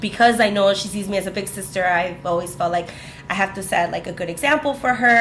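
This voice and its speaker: A woman speaks at a fairly quick pace in a medium pitch, with ordinary pitch variation, audible room echo and noticeable background noise. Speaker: podcast co-host. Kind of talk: casual chat. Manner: animated.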